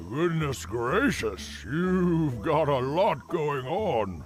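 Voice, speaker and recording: Clear music plays in the background as a man does a cartoonish character voice. He speaks very slowly at a fairly high pitch. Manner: grand, stammering.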